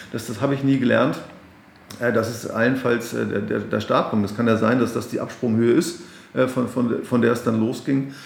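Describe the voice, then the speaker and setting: A man at a medium pitch talks at a moderate pace with fairly even intonation, with audible room echo and noticeable background noise. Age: 40s. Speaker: pastor and podcast host. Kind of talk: interview. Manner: halting, repeats words.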